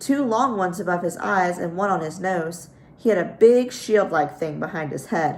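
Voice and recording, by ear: Aloud reading, natural voice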